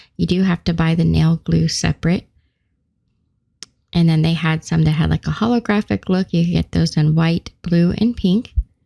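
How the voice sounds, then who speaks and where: Woman's somewhat breathy voice, dark and mellow in tone, at very even loudness and a moderate pace with ordinary pitch variation. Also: fairly low pitch for a woman. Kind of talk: shopping walkthrough voice-over.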